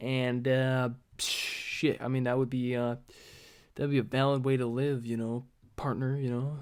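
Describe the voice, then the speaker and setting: Over noticeable background noise, a man talks at a fairly slow pace. His intonation is flat and monotone. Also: medium pitch for a man. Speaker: vlogger. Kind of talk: casual monologue. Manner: hesitant, many filler words.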